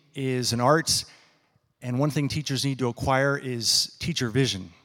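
A man with an ordinary speaking voice at medium pitch, ordinary pitch variation and a fairly slow pace, in a very clean recording with a silent background. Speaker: education professor. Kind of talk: presentation. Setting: stage with audience.

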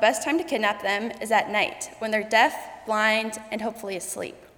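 Noticeable background noise sits behind the voice. A woman talks at a fairly quick pace. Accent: American. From South Dakota, US. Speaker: college student. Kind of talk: personal story speech. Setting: stage with audience.

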